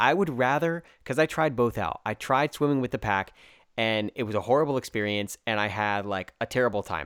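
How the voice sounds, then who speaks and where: In a very clean recording with a silent background, a man with an American accent sounds animated, his intonation lively and the sound dry and close with no echo. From United States. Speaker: podcast host. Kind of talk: interview.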